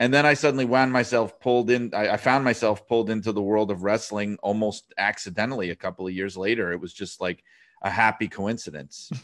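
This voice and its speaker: Speaking fairly quickly with hardly any pauses, a man with a New York accent uses ordinary pitch variation in a fairly low voice against a quiet background. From New York City. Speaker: wrestling writer and author. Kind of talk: casual interview chat.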